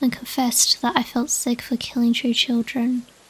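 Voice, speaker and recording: Soft-spoken and high-pitched, a woman talks at a moderate pace. Her intonation is monotone and flat. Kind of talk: ASMR dream diary reading.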